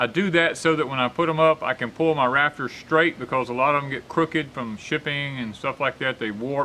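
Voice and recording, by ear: At a moderate pace, a man speaks at medium pitch in a bright, sharp tone with ordinary pitch variation.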